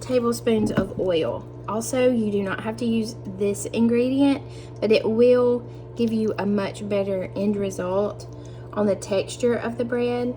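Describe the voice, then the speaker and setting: A woman with a Southern US accent at a fairly slow pace, audible room echo, and music in the background. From US South. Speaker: cooking youtuber. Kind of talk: tutorial. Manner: friendly, upbeat.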